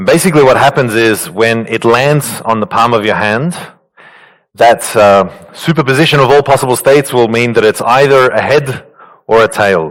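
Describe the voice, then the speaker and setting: With an Australian accent, a man speaks at a moderate pace and a medium pitch with ordinary pitch variation. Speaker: quantum physicist speaker. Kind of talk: conference talk. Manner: halting, many fillers.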